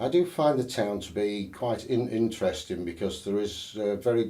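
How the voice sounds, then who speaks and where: With a Sheffield accent, the speaker has a dark, mellow tone, ordinary pitch variation and a fairly slow pace, with audible room echo. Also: man. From northern England, Sheffield. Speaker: election candidate. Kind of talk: interview. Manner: halting, many fillers and false starts.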